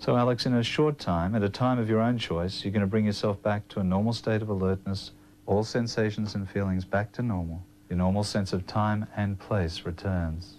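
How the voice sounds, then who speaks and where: A man with an Australian accent speaks at a fairly low pitch with fairly even intonation. Light background noise can be heard. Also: moderate pace. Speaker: clinical hypnotherapist. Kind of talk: news interview with hypnosis induction.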